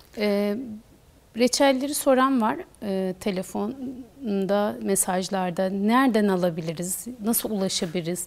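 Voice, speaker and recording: Her delivery is fairly slow, and the woman's intonation is lively. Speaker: TV show host. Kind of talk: TV interview. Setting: studio. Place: studio. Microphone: lapel.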